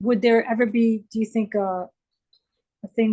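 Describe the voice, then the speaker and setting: With fairly even intonation, a woman's dark, mellow tone comes across somewhat breathy. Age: 60s. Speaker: online art student. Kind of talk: live Q&A question. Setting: video call. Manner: halting.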